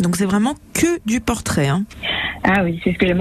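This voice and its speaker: Fairly quick, lively speech from a woman with fairly high pitch, over noticeable background noise. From France, Savoie (Chambéry). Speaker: portrait photographer. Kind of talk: radio interview. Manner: hesitant, many filler sounds.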